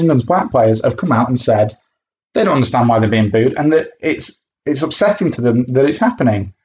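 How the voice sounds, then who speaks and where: The speech comes at a very fast pace with lively intonation. The voice is somewhat breathy. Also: man. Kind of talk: angry rant. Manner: indignant, sweary, sarcastic and scornful, spitting out insults at the booing fans.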